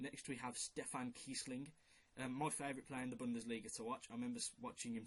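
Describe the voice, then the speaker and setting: A man talks very fast in a strong Brummie accent, his intonation fairly even. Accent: strong Brummie (Birmingham). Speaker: football video maker. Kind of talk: casual commentary on a fantasy team. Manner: casual, hesitant with fillers. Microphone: quiet recording.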